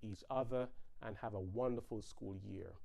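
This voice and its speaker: A man's speech has a moderate pace. Nothing much sounds in the background. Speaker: physician. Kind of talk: health briefing. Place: home room. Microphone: lapel.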